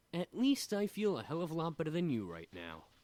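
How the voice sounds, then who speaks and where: The speaker uses a put-on character voice at a middle pitch. The pace is fairly quick. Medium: machinima. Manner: blunt, brash.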